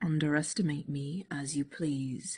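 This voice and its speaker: This soft-spoken, put-on character voice sits at a low-to-middle pitch and moves at a moderate pace. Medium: read story. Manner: soft-spoken, unflappable.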